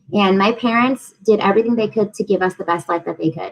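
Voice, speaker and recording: A plain, everyday voice from a woman with an American accent, medium in pitch, at a fairly quick pace with ordinary pitch variation. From Massachusetts, US. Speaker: program officer and small business advisor. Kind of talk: panel interview.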